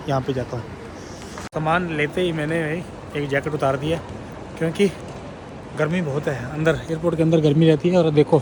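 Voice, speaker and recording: A man speaks with a fairly high pitch and monotone, flat intonation. The recording carries audible room echo and noticeable background noise. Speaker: travel vlogger. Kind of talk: travel vlog narration. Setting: airport. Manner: casual, conversational.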